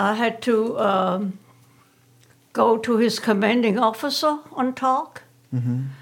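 Speaking very slowly with a German accent, the voice holds a very even loudness and ordinary pitch variation, broken by long, frequent pauses against noticeable background noise. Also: woman, fairly high pitch for a woman. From Germany. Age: 80s+. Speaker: retired interviewee. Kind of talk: casual interview. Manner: terse.

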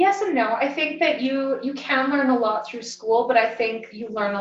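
Delivered at a fairly slow pace, the speech comes in a western Canadian accent. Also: woman. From southern Alberta, Canada (Lethbridge). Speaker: nurse and massage therapist. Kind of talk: interview.

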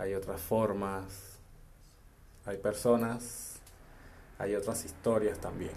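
A man speaks very slowly in a fairly low, flat monotone, with long, frequent pauses. Room echo is audible. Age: 20s. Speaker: podcaster. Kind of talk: solo monologue.

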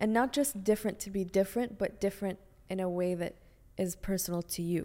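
A woman talks at a fairly quick pace with a medium pitch and ordinary pitch variation. Her tone is dark and mellow. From Bahrain. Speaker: film director. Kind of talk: casual interview. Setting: studio.

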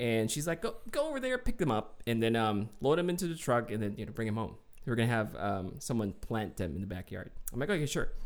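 With lively intonation, a man speaks in an ordinary speaking voice at medium pitch. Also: fairly quick pace.

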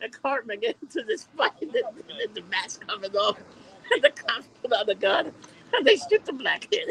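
This man's voice sits extremely high, swinging very widely in pitch at a moderate pace, recorded dry and close with no echo over noticeable background noise. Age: 40s. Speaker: podcast host. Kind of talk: casual chat.

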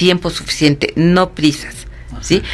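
Noticeable background noise around a woman speaking at a moderate pace. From Mexico City. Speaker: psychologist. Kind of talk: interview.

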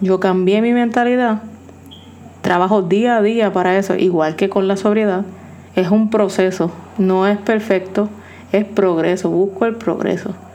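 A woman at a fairly slow pace, with long, frequent pauses, very even loudness and fairly even intonation, over noticeable background noise. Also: medium pitch for a woman. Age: 40s. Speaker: podcast host in addiction recovery. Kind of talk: personal monologue.

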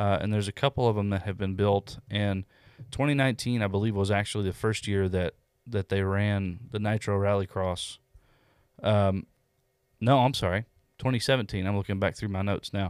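A man with a normal speaking voice at a fairly low pitch, fairly even intonation and a fairly quick pace, in a very clean recording with a silent background and a dry, close sound with no echo. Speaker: car podcast co-host. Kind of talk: casual banter, joking along with the infomercial bit. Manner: playful, jokey.

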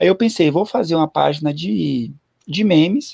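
In a dry, close sound with no echo, a man with an unremarkable speaking voice talks at a fairly quick pace with ordinary pitch variation. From Bahia, Brazil (Ilhéus). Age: 30s. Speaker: amateur runner and meme creator. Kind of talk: casual chat. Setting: YouTube live stream.

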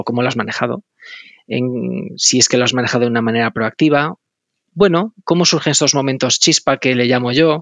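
A man's ordinary speaking voice at a medium pitch, fairly quick in pace, with ordinary pitch variation. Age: 40s. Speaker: podcast host. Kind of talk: interview conversation; scripted narration.

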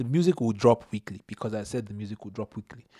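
Speaking at a very fast pace, a man with a dark, mellow tone shows ordinary pitch variation, captured in a dry, close recording with no echo, very clean and with a silent background. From Nigerian household in Canada. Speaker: podcast guest, best friend of host. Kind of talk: casual chat.

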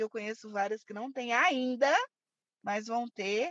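A woman with a plain, everyday voice talks at a fairly slow pace and fairly high pitch with ordinary pitch variation, in a dry, close sound with no echo. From Brazil, Belo Horizonte (Minas Gerais). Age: 30s. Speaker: samba dancer and plus-size activist. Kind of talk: interview.

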